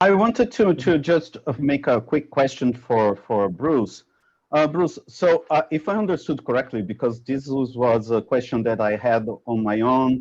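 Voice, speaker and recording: Over a quiet background, a man speaks at a medium pitch. His pace is fairly slow and his intonation lively. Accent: Portuguese. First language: Portuguese. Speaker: researcher. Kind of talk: academic Q&A discussion. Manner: halting.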